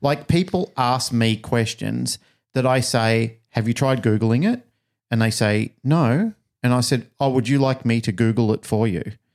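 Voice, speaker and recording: Heard on a very clean recording with a silent background, a man with an Australian accent keeps his loudness very even. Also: medium pitch for a man, ordinary pitch variation, fairly slow pace. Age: 50s. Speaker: podcast host and dog trainer. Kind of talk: casual interview.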